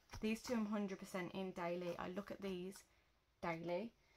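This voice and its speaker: Speaking with a British accent, a woman uses a medium pitch with ordinary pitch variation. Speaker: journaling YouTuber. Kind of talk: casual show-and-tell vlog. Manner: hesitant, many fillers.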